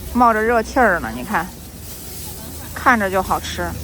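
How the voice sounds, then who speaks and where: A woman talks at a fairly slow pace in a medium pitch with ordinary pitch variation. Noticeable background noise can be heard. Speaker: Chinese language teacher. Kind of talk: casual vlog talk to camera. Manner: natural normal speed.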